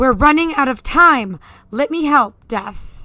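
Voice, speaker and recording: A female-sounding voice, high in pitch, growls through a put-on character voice at a fairly slow pace. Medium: game stream.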